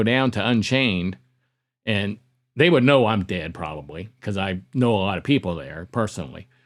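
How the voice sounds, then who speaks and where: A man talks at a moderate pace in an unremarkable speaking voice, fairly low in pitch with ordinary variation. The recording is very clean, with a silent background. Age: 60s. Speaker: conference organizer and podcaster. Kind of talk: interview.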